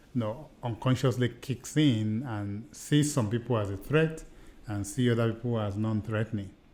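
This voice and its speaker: A man's medium-pitched voice, dark and mellow, with a Nigerian accent, ordinary pitch variation and a moderate pace. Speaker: podcast co-host, seminar trainer. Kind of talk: casual chat.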